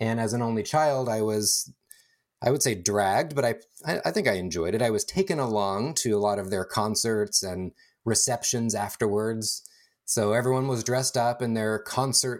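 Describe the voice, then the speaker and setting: On a very clean recording with a silent background, a man with a Californian accent speaks at a medium pitch. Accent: General American (Californian). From Northern California, East San Francisco Bay. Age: 40s. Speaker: podcast guest sharing personal story. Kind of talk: casual conversation, personal testimony. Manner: hesitant with frequent fillers and repeats.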